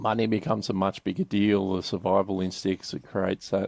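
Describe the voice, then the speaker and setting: In an Australian accent, the speaker talks at a moderate pace with monotone, flat intonation, the sound dry and close with no echo. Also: man. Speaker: business advisor. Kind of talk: podcast interview. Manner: halting.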